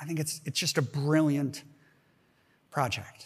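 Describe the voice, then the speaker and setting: A man's plain, everyday voice at a fairly high pitch and moderate pace, on a very clean recording with a silent background. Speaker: professor and keynote speaker. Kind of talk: keynote lecture. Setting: conference stage with audience.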